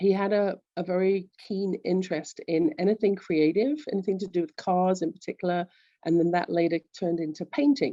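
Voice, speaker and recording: In a London accent, a woman speaks at a medium pitch and a moderate pace. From England, London. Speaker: executive coach. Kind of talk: interview.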